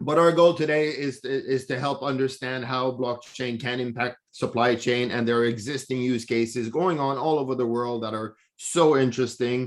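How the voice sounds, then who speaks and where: With an ordinary speaking voice, a man talks at a moderate pace and medium pitch, keeping his intonation fairly even and hardly pausing. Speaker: blockchain association head. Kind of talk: online presentation.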